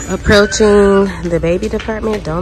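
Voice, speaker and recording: Clear music plays in the background of this dry recording with no echo, and the speech moves at a fairly slow pace. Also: woman. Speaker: shopping vlogger. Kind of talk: casual vlog chat. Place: shop. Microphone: phone near.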